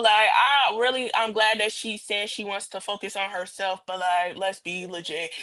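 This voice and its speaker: A woman's pitch moves in an ordinary way while noticeable background noise is present. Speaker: podcast panelist. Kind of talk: casual chat. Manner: fast.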